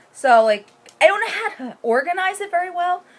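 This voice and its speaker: An animated woman speaks at an extremely high pitch and a moderate pace, her pitch swinging very widely over noticeable background noise. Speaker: knitting podcaster. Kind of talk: casual chat.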